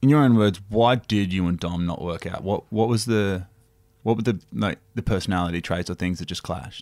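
Playful, fairly low-pitched man with an Australian accent at a fairly quick pace, ordinary pitch variation, and a very clean recording with a silent background. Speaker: podcast co-host. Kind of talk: casual comedic chat. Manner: joking, playful.

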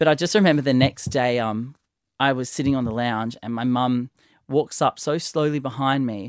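The man talks at a moderate speed. Nothing can be heard behind him. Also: medium pitch for a man, ordinary pitch variation. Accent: Australian. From Sydney, Australia (Northern Beaches). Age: 30s. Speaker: stylist. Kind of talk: casual chat. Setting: studio. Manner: animated.

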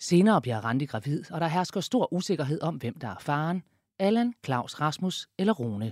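A fairly high-pitched man speaks at a moderate pace with very wide pitch swings, the sound dry and close with no echo in a very clean recording with a silent background. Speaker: narrator. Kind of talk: scripted narration.

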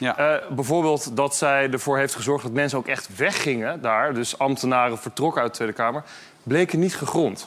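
A man speaks at a moderate pace in a fairly high pitch with ordinary pitch variation, against noticeable background noise. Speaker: political reporter. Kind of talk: casual panel discussion.

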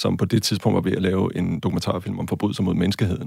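A man's very deep, low voice with vocal fry. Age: 40s. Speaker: university lecturer and film director. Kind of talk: interview. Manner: halting, many filler sounds.

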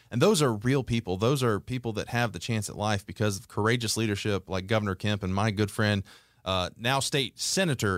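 A normal speaking voice from a man with an American accent, fairly low in pitch, with ordinary pitch variation and a moderate pace, in a very clean recording with a silent background. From Georgia, US South (Conyers, east of Atlanta). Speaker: executive director of a faith-based conservative advocacy group. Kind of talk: interview. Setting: studio.

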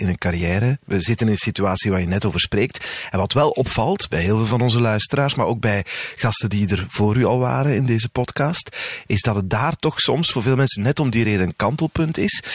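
An ordinary speaking voice from a man, fairly low in pitch, with lively intonation and a fairly quick pace. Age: 40s. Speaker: podcast host. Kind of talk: casual interview.

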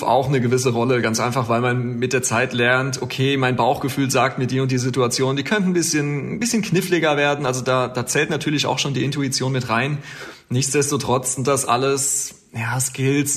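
Speaking at a moderate pace with hardly any pauses, a man at medium pitch keeps a fairly even intonation over noticeable background noise. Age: 30s. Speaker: air traffic controller. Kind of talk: interview.

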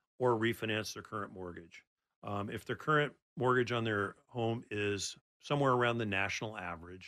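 A plain, everyday voice from a man with an American accent, fairly low in pitch, at a fairly quick pace with ordinary pitch variation, on a very clean recording with a silent background. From Oregon, Portland area. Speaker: mortgage loan officer. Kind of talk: radio interview. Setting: studio.

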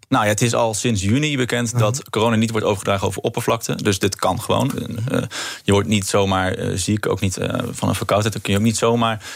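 Through noticeable background noise, a man talks at a very fast pace with medium pitch and fairly even intonation. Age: 20s. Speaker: political candidate. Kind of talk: radio interview.

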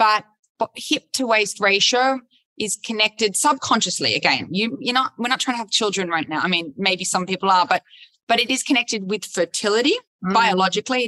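A woman with an Australian accent speaks at a fairly quick pace in a bright, sharp tone, her fairly high pitch showing ordinary variation, in a dry, close recording with no echo. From Australia, Sydney. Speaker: fashion journalist and TV host. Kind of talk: interview conversation. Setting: recorded in front of a virtual audience.

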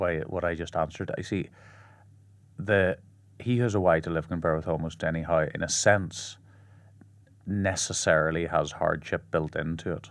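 On a very clean recording with a silent background, a man talks with an Irish accent. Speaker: blind athlete and paralysis advocate. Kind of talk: interview. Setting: studio.

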